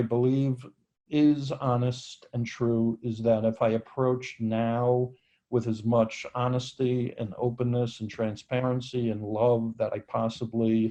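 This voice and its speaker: A man with an American accent speaks very slowly at a medium pitch, his dark, mellow tone staying monotone and flat. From New York. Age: 60s. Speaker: entrepreneur, founder of a jobs company. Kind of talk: podcast interview.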